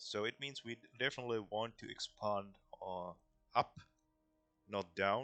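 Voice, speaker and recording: A man with a non-native accent talks at a fairly slow pace with long, frequent pauses, his fairly low voice bright and sharp in tone, with ordinary pitch variation and a dry, close sound with no echo. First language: not English. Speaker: gaming YouTuber. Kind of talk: gameplay commentary. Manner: casual, hesitant.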